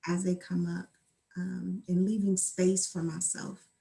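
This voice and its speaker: A woman speaks fairly slowly in a medium pitch, her dark, mellow tone somewhat breathy and her intonation flat and monotone. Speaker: mental health helper. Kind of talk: interview. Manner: soft-spoken.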